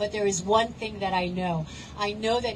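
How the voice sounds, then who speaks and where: Woman of medium pitch with fairly even intonation and audible room echo. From Palestinian background. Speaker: protest speaker. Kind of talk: rally speech. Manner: impassioned.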